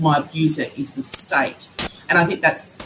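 The pace is fairly slow, with noticeable background noise. A woman speaks at a fairly low pitch. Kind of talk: panel discussion.

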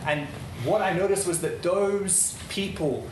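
Recorded with audible room echo and noticeable background noise, a man speaks at a high pitch with ordinary pitch variation. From Netherlands. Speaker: event speaker. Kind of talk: public talk.

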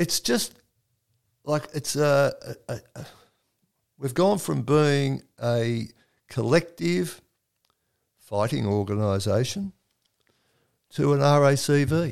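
A man speaks very slowly with an Australian accent, leaving long, frequent pauses. His intonation is lively. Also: fairly high pitch for a man. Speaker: oral history interviewer. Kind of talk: casual interview conversation.

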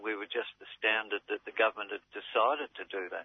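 A man with an Australian accent at a moderate pace. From Melbourne, Australia. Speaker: community activist. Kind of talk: interview.

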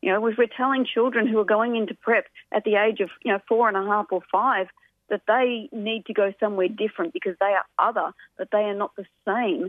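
Speaking at a fairly quick pace in an Australian accent, a woman with a fairly high pitch shows ordinary pitch variation. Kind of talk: radio interview.

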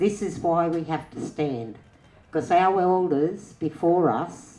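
A woman with an Australian accent speaks with a fairly low pitch. Her pitch variation is ordinary. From Australia, western New South Wales. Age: old. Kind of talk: panel discussion.

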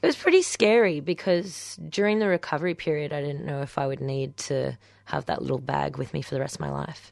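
With an Australian accent, a woman talks at a fairly quick pace, hardly pausing at all. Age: 20s. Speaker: guest. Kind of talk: radio interview. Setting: radio studio.

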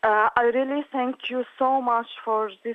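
A woman with an Arabic accent talks very slowly in a high pitch, with ordinary pitch variation. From Syria. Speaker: refugee artist and activist. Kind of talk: interview. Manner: halting.

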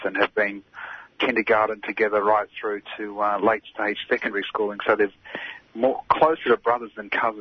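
There is noticeable background noise behind this man. He talks at a moderate pace with a fairly low pitch. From Palestinian heritage. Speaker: activist. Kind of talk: interview.

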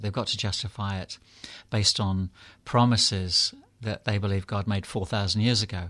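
A man with a British accent and a fairly low pitch, in a quiet background. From England. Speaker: clergyman and author. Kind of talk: interview. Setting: studio.

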